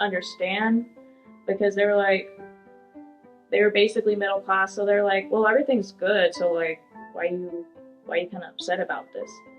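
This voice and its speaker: A woman with a Californian accent talks at a fairly quick pace and medium pitch. Her intonation is fairly even, with music in the background. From Woodland, California. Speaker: community college student. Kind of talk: interview answer. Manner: casual, conversational.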